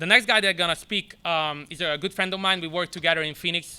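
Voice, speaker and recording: Fairly even intonation runs through a man's bright, sharp tone. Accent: non-native. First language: not English. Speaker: soccer academy director. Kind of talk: press conference speech. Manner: halting.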